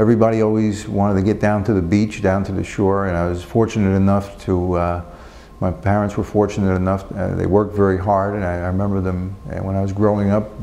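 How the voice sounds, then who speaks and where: With a New Jersey accent, a man talks very fast in a monotone, flat voice over noticeable background noise. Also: fairly low pitch for a man. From New Jersey, Passaic. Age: 60s. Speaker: prisoner. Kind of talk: interview. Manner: halting.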